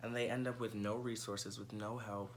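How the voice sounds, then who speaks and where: There is audible room echo as a man with an American accent talks at a fairly quick pace and a medium pitch. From New York City (Bronx). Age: 20s. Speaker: presenter auditioning as co-host. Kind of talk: audition video monologue.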